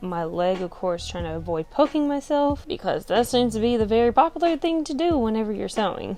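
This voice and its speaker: A woman's fairly high voice in an upbeat, playful tone, with music in the background. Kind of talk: sewing tutorial to camera.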